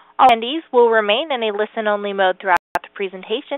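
A woman speaks at a very fast pace with ordinary pitch variation. The sound is dry with no echo, and the background is quiet. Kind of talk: scripted announcement. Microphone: phone line.

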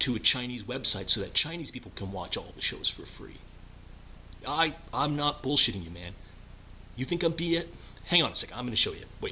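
A man's bright, sharp voice with vocal fry, fairly quick pace and lively intonation, over light background noise. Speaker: comic phone-call skit. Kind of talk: acted phone conversation. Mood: defensive, exasperated, pleading. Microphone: webcam.

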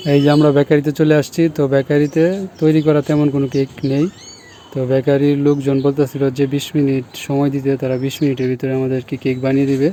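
A man's fairly high-pitched, monotone, flat voice over noticeable background noise. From Bangladesh, Netrokona (Mymensingh). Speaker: vlogger. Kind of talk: casual vlog narration.

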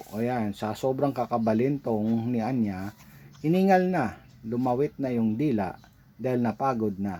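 A man talks at a fairly slow pace in a dark, mellow tone. His pitch is medium with ordinary variation. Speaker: pet vlogger. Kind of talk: voice-over narration. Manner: halting; unscripted, hesitant.

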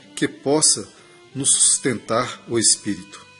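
Over music in the background, a man speaks very slowly at a medium pitch, calm and solemn in tone yet lively in intonation. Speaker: reader interpreting a spiritist message received through a medium. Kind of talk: spiritual message reading, prayer moment. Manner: calm, solemn, measured.

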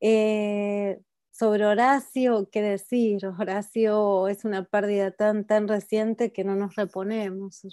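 A woman speaks at a very slow pace in a monotone, flat intonation, her tone dark and mellow. The sound is dry with no echo, and the background is quiet. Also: medium pitch for a woman. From Argentina. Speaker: academic panelist. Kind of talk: academic talk. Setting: video call. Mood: reflective, somber tribute. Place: home room. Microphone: earbuds.

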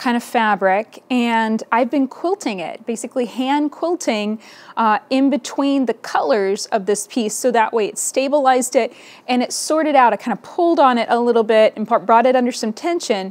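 A woman's high voice with lively intonation at a moderate pace. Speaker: podcast host, quilting teacher. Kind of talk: casual vlog chat. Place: home room.

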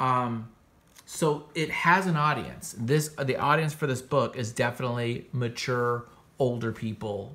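A man with a bright, sharp tone, ordinary pitch variation and a fairly slow pace. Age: 40s. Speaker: comics podcast host and artist; comics podcast host. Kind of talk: casual review monologue. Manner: casual, filler-heavy. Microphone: phone near.

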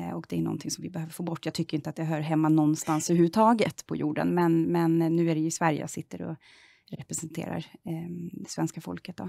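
A woman with a very deep, low pitch and dark, mellow tone, talking at a very fast pace with fairly even intonation, dry sound with no echo over a quiet background. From Sweden, southern Stockholm. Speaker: member of parliament; politician interviewee. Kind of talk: political interview. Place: studio.

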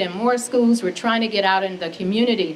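A woman's voice with ordinary pitch variation and light background noise. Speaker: mental health advocate; speaker. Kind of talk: public speech. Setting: stage with audience. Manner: passionate. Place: hall. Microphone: studio mic.

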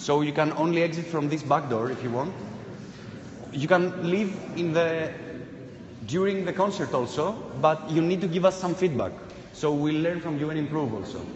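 A man talks at a moderate pace with long, frequent pauses. Audible room echo and light background noise surround him. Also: ordinary pitch variation. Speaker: performance artist. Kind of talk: participatory live performance. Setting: live event with audience. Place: hall.

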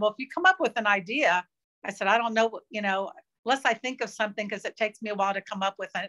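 Over a quiet background, a woman speaks with ordinary pitch variation. Her tone is bright and sharp. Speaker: interview guest, teacher, video creator. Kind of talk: interview answer. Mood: relaxed, friendly.

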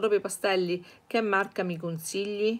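This is a woman's voice. Her pitch rises and falls in an ordinary way. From Sicily, Catania; Sicily. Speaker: art teacher, channel owner; art teacher. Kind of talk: live-stream Q&A lesson. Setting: live stream. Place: home room. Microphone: webcam.

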